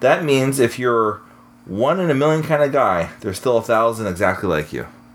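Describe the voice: The clip is plain reading aloud.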